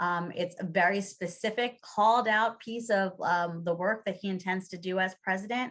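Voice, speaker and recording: A woman's medium-pitched, fairly evenly intoned voice is captured on a very clean recording with a silent background. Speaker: early childhood policy advocate. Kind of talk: conference presentation. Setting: conference session. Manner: fast.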